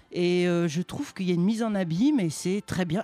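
This man speaks at a fairly quick pace in a high pitch, with lively intonation. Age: 40s. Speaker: radio show co-host. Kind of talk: casual chat. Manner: halting.

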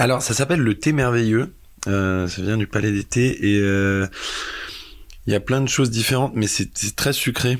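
A man of medium pitch talks at a moderate pace with ordinary pitch variation and long, frequent pauses. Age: 20s. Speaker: filmmaker. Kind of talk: interview. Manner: halting.

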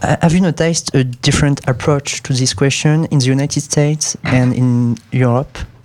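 A man with a French accent speaks at a moderate pace in a fairly high voice, with fairly even intonation and very even loudness. He barely pauses, and noticeable background noise is present. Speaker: student radio host. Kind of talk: radio presenting; interview.

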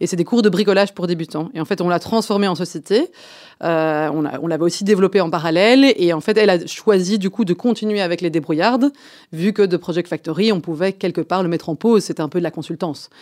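Recorded very cleanly with a silent background and a dry, close sound free of echo, a woman talks very fast at a fairly low pitch with ordinary pitch variation. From Belgium, Brussels. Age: 30s. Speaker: startup founder and CEO. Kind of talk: radio interview.

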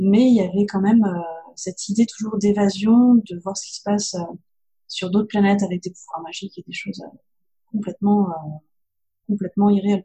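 A woman with a dark, mellow tone, somewhat breathy and medium in pitch, speaks at a fairly quick pace in a monotone, flat intonation, with big swings in loudness and long, frequent pauses. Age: young. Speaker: novelist. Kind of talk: interview.

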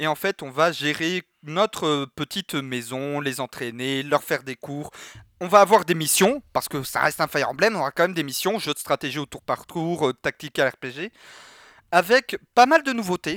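A man with a fairly high pitch, a bright, sharp tone and lively intonation, at a moderate pace. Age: 20s. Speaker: streamer and podcast co-host. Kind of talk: casual chat. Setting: video call.

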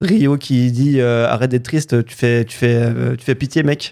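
Intonation remains fairly even throughout. A dark, mellow tone colors the voice. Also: man. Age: 20s. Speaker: podcast panelist. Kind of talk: casual chat.

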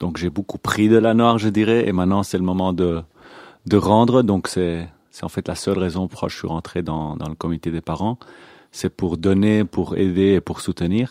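A man with a very deep, low pitch and a dark, mellow tone speaks with ordinary pitch variation. The recording is very clean with a silent background, and the sound is dry and close with no echo. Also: moderate pace. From Belgium (Antwerp), born in Israel. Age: 40s. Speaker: youth movement committee member. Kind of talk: radio interview. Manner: hesitant, many fillers.

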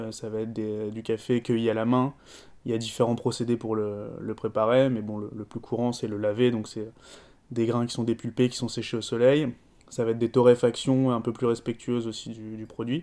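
A dark, mellow voice speaks at a moderate pace in a flat, monotone delivery. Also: man, medium pitch for a man. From France. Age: 30s. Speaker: coffee shop owner. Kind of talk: interview. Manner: hesitant with fillers.

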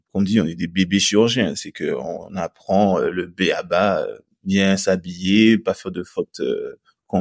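In a dry, close sound with no echo, a man talks with a fairly low pitch. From Guadeloupe. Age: 30s. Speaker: orthopedic surgeon. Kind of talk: interview.

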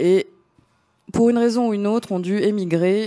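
A woman's dark, mellow tone at a fairly slow pace. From Greece. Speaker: DJ. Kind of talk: casual chat. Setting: studio.

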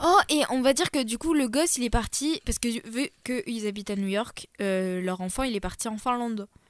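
With a normal speaking voice, a woman speaks at a fairly high pitch and moderate pace with lively intonation and hardly any pauses, in a dry, close sound with no echo. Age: 20s. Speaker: podcast guest. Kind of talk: casual chat. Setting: studio.

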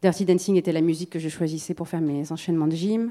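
On a very clean recording with a silent background, a woman with an ordinary speaking voice talks at a fairly quick pace and fairly low pitch. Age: 40s. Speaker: musician and sound creator. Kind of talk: round table discussion.

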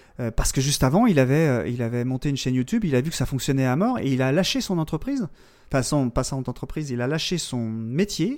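Recorded very cleanly against a silent background, a man with an ordinary speaking voice talks at a moderate pace and a fairly high pitch with lively intonation. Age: 40s. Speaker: podcaster. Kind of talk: casual chat.

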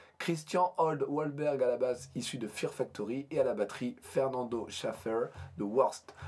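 A man speaks very slowly at a medium pitch. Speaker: podcast host. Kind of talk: casual chat.

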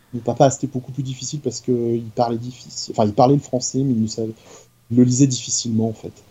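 A man's medium-pitched, somewhat breathy voice at a fairly quick pace, flat and monotone, with hardly any pauses and big swings in loudness. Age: 40s. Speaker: YouTuber. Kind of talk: casual chat.

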